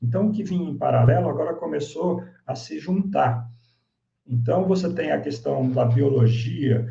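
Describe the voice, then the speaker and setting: A man of medium pitch has a dark, mellow, somewhat breathy tone and lively intonation. He speaks at a fairly slow pace amid audible room echo. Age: 60s. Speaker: swim school executive. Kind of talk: lecture.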